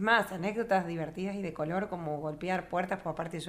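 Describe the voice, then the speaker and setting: A woman talks at a fairly quick pace with a medium pitch. She has a normal speaking voice. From Argentina, Río Gallegos (Santa Cruz). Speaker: choir director. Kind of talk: interview.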